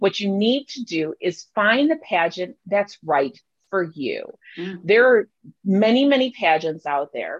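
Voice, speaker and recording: Recorded dry and close with no echo, a woman of medium pitch speaks at a fairly slow pace with very wide pitch swings. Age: 40s. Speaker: plus-size model and pageant winner. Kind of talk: interview.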